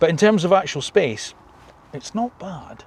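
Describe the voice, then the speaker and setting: Speaking at a fairly quick pace, a man talks in a British accent. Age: 50s. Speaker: car reviewer. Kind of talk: video review. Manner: casual, conversational.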